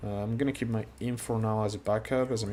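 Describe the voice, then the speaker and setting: Speaking at a fairly quick pace with a non-native accent, the man has a fairly low pitch and ordinary pitch variation. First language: not English. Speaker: gaming streamer. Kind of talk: live gameplay commentary. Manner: casual, hesitant with fillers.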